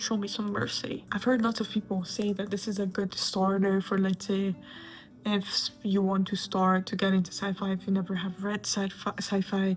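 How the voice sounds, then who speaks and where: Music in the background behind a woman with a non-native accent, medium in pitch, at a moderate pace. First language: not English. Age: 20s. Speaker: booktuber. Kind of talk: casual chat. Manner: animated.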